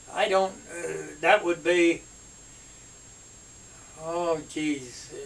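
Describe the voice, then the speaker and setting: With noticeable background noise behind him, a man speaks very slowly in a high voice with fairly even intonation. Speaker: WWII veteran, former army sergeant. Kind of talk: interview answer. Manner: hesitant, halting.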